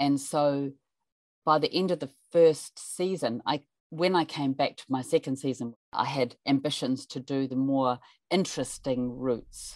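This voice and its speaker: A woman speaks with a New Zealand accent. Her voice sits very deep and low. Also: fairly slow pace, dry, close sound with no echo, very clean recording, silent background. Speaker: climber and mountain guide. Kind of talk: interview storytelling. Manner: animated.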